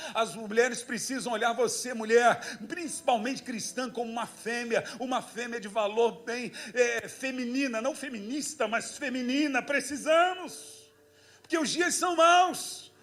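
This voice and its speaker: An animated man's voice, extremely high in pitch, at a fairly slow pace with ordinary pitch variation and audible room echo. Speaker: pastor. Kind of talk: sermon.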